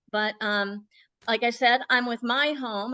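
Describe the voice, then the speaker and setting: A woman's voice comes through bright and sharp. The sound is dry and close with no echo, against a quiet background. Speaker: marketing technology director. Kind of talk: presentation in a video interview; casual chat.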